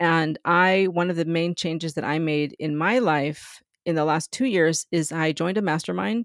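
In a very clean recording with a silent background and a dry, close sound with no echo, a woman with an unremarkable speaking voice talks at a moderate pace, her fairly low pitch showing ordinary pitch variation. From US Southwest, San Diego near Mexican border. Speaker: business founder and mentor. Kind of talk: interview.

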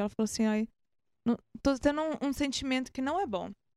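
A woman's voice in a dry, close sound with no echo, on a very clean recording with a silent background. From Brazil, Minas Gerais. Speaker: musician. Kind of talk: casual chat.

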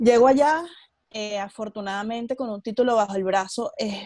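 The voice moves at a moderate pace and is somewhat breathy. Pitch varies in an ordinary way. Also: woman. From Venezuela. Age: 20s. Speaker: entrepreneur and emigrant. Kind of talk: interview. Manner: articulate, engaging speaker.

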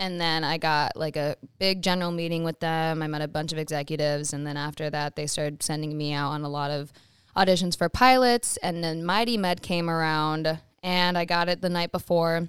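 A woman with a fairly low voice speaks with an Upper Midwest accent and fairly even intonation. The recording is very clean, with a silent background. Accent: Upper Midwest American. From US Midwest, Wisconsin. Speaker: actress and model. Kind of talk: casual chat.

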